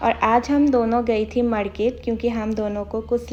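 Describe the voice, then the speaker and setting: Noticeable background noise surrounds a woman whose fairly high voice has monotone, flat intonation. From Assam, India. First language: Assamese (speaking Hindi). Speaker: vlogger. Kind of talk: vlog narration.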